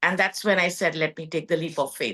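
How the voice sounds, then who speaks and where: With a Gujarati accent, the speaker talks at a very fast pace in a bright, sharp tone. The background is quiet. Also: woman. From India, Gujarat (Kutch region). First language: Kutchi. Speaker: textile entrepreneur. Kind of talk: podcast interview.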